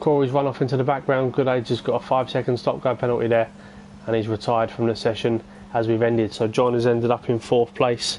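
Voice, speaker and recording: Against noticeable background noise, a man speaks fairly quickly. His medium-pitched voice stays monotone and flat. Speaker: esports race commentator. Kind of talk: live commentary. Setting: live stream. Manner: casual, hesitant with fillers.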